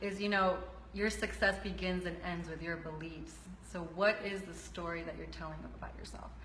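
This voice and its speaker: A woman talks at a moderate pace with big swings in loudness, while noticeable background noise and audible room echo fill the recording. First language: Spanish. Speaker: health coach. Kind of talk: interview.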